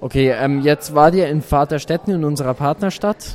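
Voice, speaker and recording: The man's voice sits fairly high with ordinary pitch variation. He speaks at a moderate pace. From Germany. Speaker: interviewer. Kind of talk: interview.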